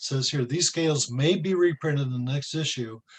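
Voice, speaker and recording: Somewhat breathy, this man talks with a fairly high pitch. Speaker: research professor. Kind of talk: training presentation.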